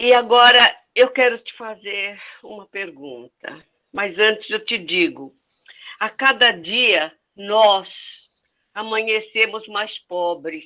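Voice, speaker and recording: A woman speaks very slowly with long, frequent pauses and big swings in loudness. Her fairly high voice is bright and sharp, with ordinary pitch variation. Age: 80s+. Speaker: community member asking a question. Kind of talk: public Q&A question.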